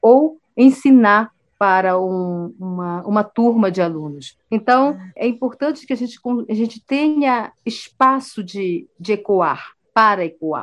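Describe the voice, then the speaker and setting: A woman's very slow speech with lively intonation over a quiet background. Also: fairly high pitch for a woman. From Brazilian Amazon, Amazonas. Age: 40s. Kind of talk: interview.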